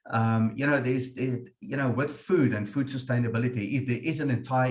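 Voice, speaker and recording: Speaking fairly quickly with an Afrikaans accent, a man keeps his intonation fairly even. His voice is somewhat breathy. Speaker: webinar moderator, insurance manager. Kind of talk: webinar discussion. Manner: hesitant, repetitive fillers.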